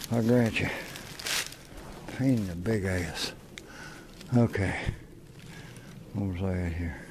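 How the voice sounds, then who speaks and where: A man with an Appalachian accent and a very deep, low pitch speaks at a fairly slow pace with ordinary pitch variation and long, frequent pauses, amid noticeable background noise and audible room echo. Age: 50s. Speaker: outdoor vlogger. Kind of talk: casual vlog narration while hiking. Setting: outdoors on mountain trail.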